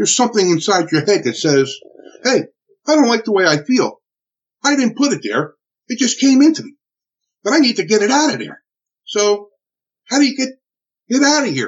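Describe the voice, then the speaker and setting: A man with a New Jersey accent, extremely high pitch, very wide pitch swings, a fairly quick pace and long, frequent pauses. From US Northeast (Newark, New Jersey). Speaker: military veteran and trainer. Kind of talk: interview testimony. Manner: halting.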